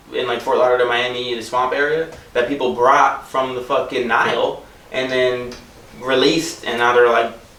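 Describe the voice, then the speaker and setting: Over noticeable background noise and audible room echo, a man with an American accent talks at a moderate pace and a medium pitch. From Florida (Tampa). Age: 20s. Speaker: stand-up comedian. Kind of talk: casual chat. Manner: animated.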